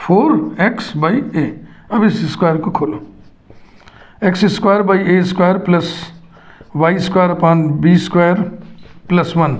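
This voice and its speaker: A high-pitched man speaks at very even loudness with ordinary pitch variation and long, frequent pauses, amid noticeable background noise and audible room echo. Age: 60s. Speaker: math teacher. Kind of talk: lecture.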